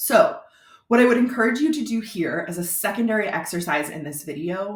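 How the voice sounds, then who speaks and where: A woman with an American accent speaks at a fairly quick pace. Her fairly high voice swings very widely in pitch. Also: big swings in loudness. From Florida. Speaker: brand strategist and web designer. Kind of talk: tutorial. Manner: casual, conversational.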